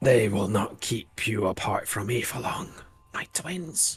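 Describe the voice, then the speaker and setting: Putting on a raspy, guttural character voice, a man talks at a medium pitch and a fairly slow pace with lively intonation. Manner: ominous.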